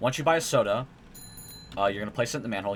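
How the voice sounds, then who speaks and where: A man speaks with lively intonation. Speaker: gaming speedrunner. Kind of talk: tutorial. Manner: fast; hesitant with fillers.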